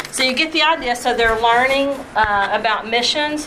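A woman with a Southern US accent speaks at a moderate pace in a high pitch with ordinary pitch variation. Noticeable background noise and audible room echo come through. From US South (Tennessee, Kentucky, Alabama). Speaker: missionary and children's ministry trainer. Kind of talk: workshop talk. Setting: live session with audience.

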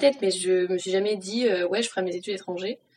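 Her pitch varies in an ordinary way as a woman with a plain, everyday voice talks at a medium pitch. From France (Reims). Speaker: university student. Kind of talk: casual chat.

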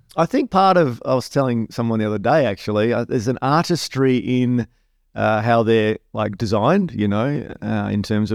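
Spoken in an Australian accent at a fairly quick pace, the voice has a dry, close sound with no echo on a very clean recording with a silent background. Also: man. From Western Australia, Perth. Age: 40s. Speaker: pastor. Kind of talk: casual interview.

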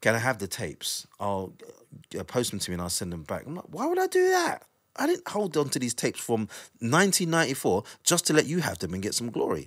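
A man speaks with a South London accent at a very fast pace. His pitch swings very widely. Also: medium pitch for a man. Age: 40s. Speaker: drum and bass DJ and producer. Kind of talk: casual interview chat. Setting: studio, recorded on video.

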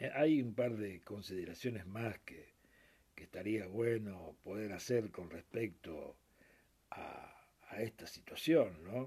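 A man speaks in a dark, mellow tone that is somewhat breathy, at a very slow pace. His loudness swings widely, while his pitch varies in an ordinary way. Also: fairly low pitch for a man. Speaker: radio host. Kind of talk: radio sports show.

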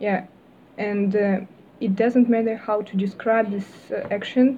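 A woman with a Russian accent speaks at a medium pitch and a fairly slow pace. Her intonation stays flat and monotone. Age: 20s. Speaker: university student. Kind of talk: casual interview. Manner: halting.

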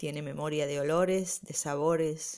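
With a Rioplatense accent and a warm, gentle tone, the speaker goes at a very slow pace with ordinary pitch variation. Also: woman. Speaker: amateur storyteller, local resident. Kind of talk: spontaneous oral storytelling, nostalgic memoir told to a listener. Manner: warm, gentle, unhurried, intimate and reflective.

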